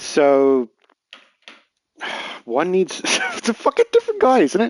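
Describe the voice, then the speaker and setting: A man with an American accent speaks at a fairly slow pace, his voice dry and close with no echo. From England. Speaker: video game streamer. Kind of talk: live gameplay stream commentary.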